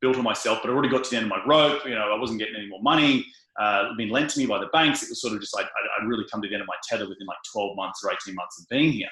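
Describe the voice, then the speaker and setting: A man with an Australian accent talks at a very fast pace and a medium pitch. His loudness swings widely, while his pitch varies in an ordinary way. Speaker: real estate investor. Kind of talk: interview. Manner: fast, many fillers.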